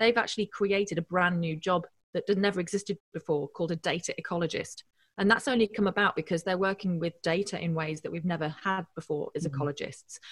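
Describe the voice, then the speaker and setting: At a very fast pace, a woman speaks with ordinary pitch variation and a somewhat breathy voice. The sound is dry and close, with no echo. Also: medium pitch for a woman. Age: 40s. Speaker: engineering professor and drone expert. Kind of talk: casual interview.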